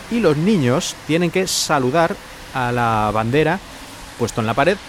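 Over noticeable background noise, the voice's pitch swings very widely. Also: man. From Spain. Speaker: podcaster and Spanish teacher. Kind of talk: solo podcast monologue.

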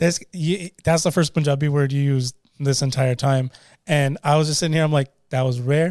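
A Canadian-accented man in an ordinary speaking voice talks at a moderate pace with a fairly high pitch, fairly even intonation and very even loudness. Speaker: podcast host and DJ. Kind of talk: casual chat.

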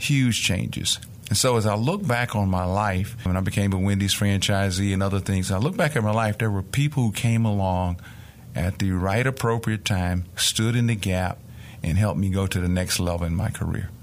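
A man's fairly low voice holds its loudness very even throughout. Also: ordinary pitch variation, moderate pace. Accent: Mississippi. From rural Mississippi, US South. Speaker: nonprofit executive. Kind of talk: interview.

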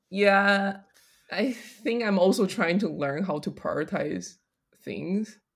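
At a very slow pace, a woman with an American accent speaks with vocal fry and ordinary pitch variation. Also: medium pitch for a woman. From Taiwan and US, third culture kid. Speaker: senior product designer. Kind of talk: casual interview.

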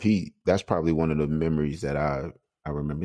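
This man's voice is very deep and low in pitch, with a dark, mellow tone. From South Carolina. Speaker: former pro basketball player and coach. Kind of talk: casual interview.

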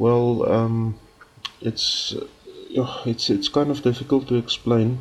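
A man with an Afrikaans accent, medium-pitched and flat in a monotone, at a very slow pace with long, frequent pauses, his loudness very even, over noticeable background noise. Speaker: music project creator. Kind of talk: recorded submission message. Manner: halting, many fillers.

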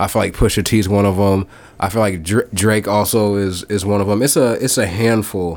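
In an American accent, a man talks at a fairly low pitch and a moderate pace, with fairly even intonation and very even loudness. It is an unremarkable speaking voice. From Iowa. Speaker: R&B singer. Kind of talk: casual chat.

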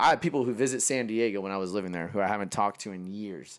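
On a very clean recording with a silent background, a man speaks at a very fast pace. He has a Californian accent and lively intonation. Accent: Californian American. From California, Modesto. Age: 20s. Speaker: fashion designer. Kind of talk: casual chat.

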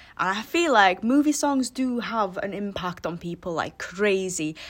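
A woman's fairly slow, lively speech in a North Welsh accent. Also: very clean recording, silent background. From North Wales. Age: 20s. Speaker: podcast host, university student. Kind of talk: casual monologue. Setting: bedroom den. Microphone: recorded before new microphone arrived.

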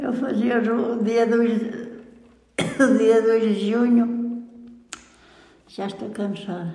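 Over noticeable background noise and audible room echo, a woman talks at a very slow pace in a fairly high pitch with monotone, flat intonation. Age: 80s+. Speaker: centenarian interviewee. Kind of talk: life-story interview. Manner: halting.

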